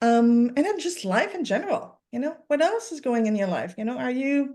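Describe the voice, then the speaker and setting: A woman speaks with a French-Canadian accent at a fairly quick pace. Her high voice has very wide pitch swings. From Quebec. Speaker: sleep coach. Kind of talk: interview on a webinar. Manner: halting, many fillers.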